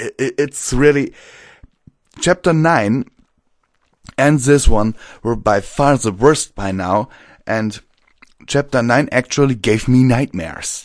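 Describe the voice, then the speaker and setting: A man with a German accent at a very slow pace, dry and close with no echo, on a very clean recording with a silent background. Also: medium pitch for a man, ordinary pitch variation. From Germany. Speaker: audiobook narrator. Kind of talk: casual commentary. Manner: halting.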